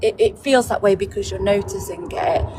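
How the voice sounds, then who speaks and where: Music plays in the background. Over it, a woman speaks at a moderate pace. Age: 40s. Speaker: TikTok live participant. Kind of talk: casual chat. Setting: in a car, being driven.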